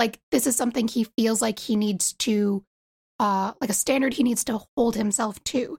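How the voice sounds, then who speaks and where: A woman with an American accent speaks at a moderate pace in a fairly high, somewhat breathy voice, her loudness very even and her intonation fairly even, in a dry, close recording with no echo. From US East Coast. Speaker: fan artist. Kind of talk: casual chat.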